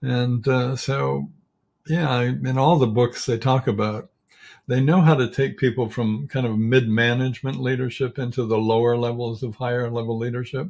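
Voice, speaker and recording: A man speaks at a medium pitch and a moderate pace, somewhat breathy, with ordinary pitch variation. The recording is very clean, with a silent background. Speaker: leadership coach. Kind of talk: interview. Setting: podcast.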